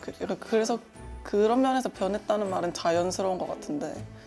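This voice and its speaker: The intonation is lively and the pace moderate. Music plays in the background. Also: woman. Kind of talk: group interview answer.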